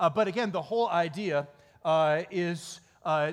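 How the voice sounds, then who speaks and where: An Upper Midwest US accent at a moderate pace, with ordinary pitch variation. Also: man. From Michigan, small town. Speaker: pastor. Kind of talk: sermon.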